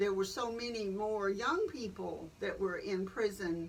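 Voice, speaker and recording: Speaking with a Southern US accent, a woman keeps a medium pitch and fairly even intonation at a fairly slow pace. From Columbus, Georgia. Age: 70s. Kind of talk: interview answer. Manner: frank, conversational.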